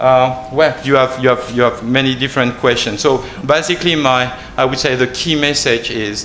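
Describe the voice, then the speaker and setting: This man, medium in pitch and moderate in pace, is heard through noticeable background noise. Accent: French. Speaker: researcher on a panel. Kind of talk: panel presentation. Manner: halting, many repetitions.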